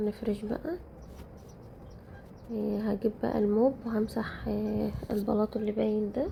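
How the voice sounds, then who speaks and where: A woman talks fairly slowly with long, frequent pauses while noticeable background noise goes on. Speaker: home vlogger. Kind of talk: casual vlog narration.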